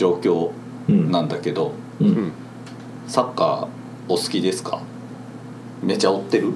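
A man talks at a moderate pace with long, frequent pauses. Room echo is audible and background noise is noticeable. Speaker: podcast host. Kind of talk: casual chat. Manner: animated.

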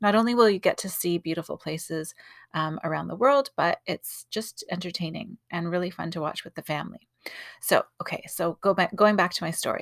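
A woman with a plain, everyday voice speaks at a medium pitch with ordinary pitch variation. The recording is very clean, with a silent background and a dry, close sound with no echo. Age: 40s. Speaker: podcast host and artist. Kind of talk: casual monologue. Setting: home closet with pillows.

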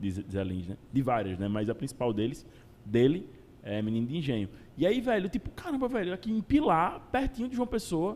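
Here a man talks at a fairly quick pace. His fairly high voice makes very wide pitch swings. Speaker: podcast host. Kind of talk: casual interview chat. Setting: live show.

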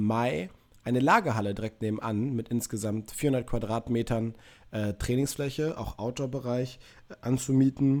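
This man's voice has a dark, mellow tone and a medium pitch, and he speaks at a fairly slow pace. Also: very clean recording, silent background. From Münster, north-western Germany. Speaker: podcast co-host, personal trainer. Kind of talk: casual chat.

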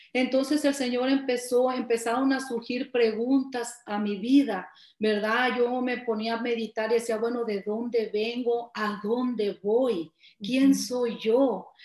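High pitch from a woman, at a fairly slow pace and with fairly even intonation, over noticeable background noise. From Nayarit, Mexico. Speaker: church member sharing testimony. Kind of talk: testimony.

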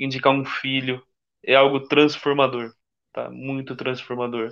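A man speaks at a medium pitch with a bright, sharp tone. The background is quiet. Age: 30s. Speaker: Freemason, corporate employee. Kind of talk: casual live-stream interview.

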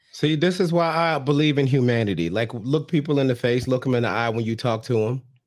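Hardly pausing, a man at medium pitch speaks at a very fast pace. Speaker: podcast host. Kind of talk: casual comedic recap chat.

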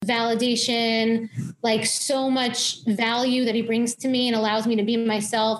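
A woman with an American accent speaks at a moderate pace in a normal speaking voice. Her pitch is fairly high and her intonation fairly even. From New York, Long Island. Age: 30s. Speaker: health coach and dietitian. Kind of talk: interview conversation.

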